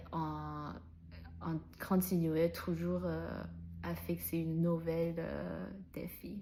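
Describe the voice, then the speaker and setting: A woman with a non-native accent at a very slow pace. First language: not French (speaking French). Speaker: French learner vlogger. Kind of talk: personal vlog monologue. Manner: halting, many fillers and restarts.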